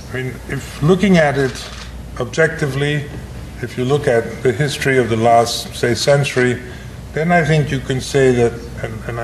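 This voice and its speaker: There is noticeable background noise and audible room echo. A man speaks at medium pitch with ordinary pitch variation. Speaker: professor. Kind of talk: lecture. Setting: breakfast lecture to an audience. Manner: hesitant, with many fillers and restarts.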